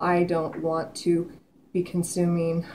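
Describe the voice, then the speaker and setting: A woman with a fairly low pitch speaks in a monotone, flat way over light background noise. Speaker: vlogger. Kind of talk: casual vlog chat. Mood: earnest, reflective. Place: kitchen. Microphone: webcam.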